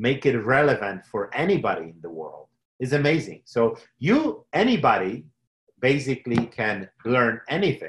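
Somewhat breathy speech in a Polish accent comes over a quiet background. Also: man. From Poland. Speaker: technology entrepreneur. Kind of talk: interview. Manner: halting.

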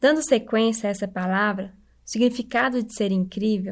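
Over a very clean recording with a silent background, a woman speaks at a moderate pace in a fairly high, somewhat breathy voice. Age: 20s. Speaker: church member giving devotional. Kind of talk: devotional talk.

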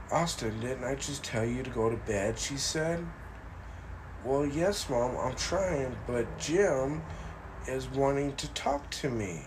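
A man speaks at a very slow pace with lively intonation and a medium pitch. Noticeable background noise runs under his voice. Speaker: paranormal podcast host. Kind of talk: ghost story telling, spooky narration. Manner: hushed, suspenseful, dramatic build with repeated words; informal, rambling, somewhat halting with fillers.

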